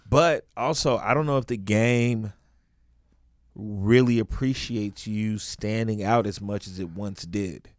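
Recorded very cleanly against a silent background, a man with an American accent and a fairly low pitch speaks at a fairly slow pace with ordinary pitch variation. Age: 30s. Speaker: comedian and podcast host. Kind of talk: casual chat.

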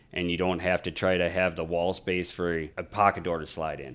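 A monotone, flat voice moves at a moderate pace on a very clean recording with a silent background. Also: man. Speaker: trim carpenter. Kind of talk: casual interview chat. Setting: studio. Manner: loud, talkative.

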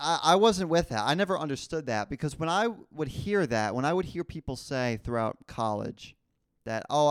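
An animated, fairly quick voice in a New Jersey accent with very wide pitch swings, on a very clean recording with a silent background. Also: man. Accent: New Jersey American. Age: 20s. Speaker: podcast host. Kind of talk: casual solo monologue.

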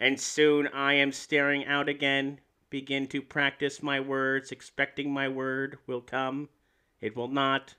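Putting on a robotic character voice, a man speaks fairly slowly at a medium pitch in a monotone, flat intonation.

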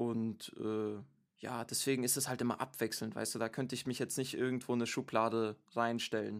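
A man's monotone, flat delivery at medium pitch and moderate pace, on a very clean recording with a silent background. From Stuttgart, Germany. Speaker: music producer and rapper. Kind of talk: casual interview. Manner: halting, many fillers.

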